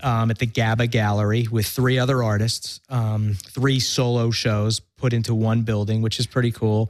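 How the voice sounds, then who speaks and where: A man's medium-pitched voice in a Philadelphia accent, monotone and flat, with hardly any pauses. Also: moderate pace. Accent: Philadelphia American. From Philadelphia, US. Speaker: recovering addict sharing his story. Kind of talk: casual interview chat. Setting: podcast.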